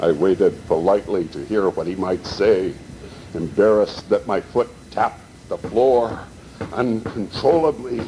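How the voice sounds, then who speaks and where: With an American accent and an ordinary speaking voice, a man at medium pitch talks at a fairly slow pace with lively intonation. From Montana, Butte. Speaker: poet. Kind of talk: reading aloud.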